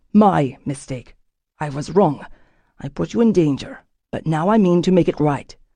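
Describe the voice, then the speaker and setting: In a put-on character voice, a woman speaks at a very deep, low pitch, sounding strained, with lively intonation, a moderate pace and long, frequent pauses. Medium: read story. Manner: controlled, restrained, rarely raises his voice.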